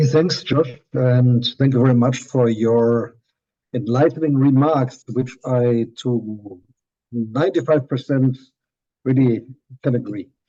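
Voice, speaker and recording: Speaking at a fairly slow pace with a German accent, a man has a dark, mellow tone, a medium pitch, fairly even intonation and very even loudness. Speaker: professor. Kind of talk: lecture. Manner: halting.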